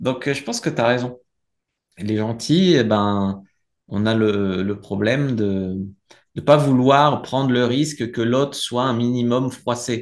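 With ordinary pitch variation, a man speaks against a quiet background. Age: 30s. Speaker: dating coach. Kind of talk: casual interview. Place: home room. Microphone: video call.

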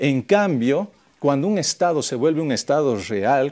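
With very wide pitch swings, a man speaks at a fairly slow pace in a dark, mellow tone. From Bolivia. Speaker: TV panelist. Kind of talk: panel debate. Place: studio. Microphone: lapel.

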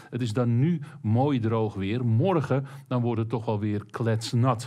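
A man talks at a moderate pace. The background stays quiet. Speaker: presenter. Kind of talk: weather forecast commentary. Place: studio.

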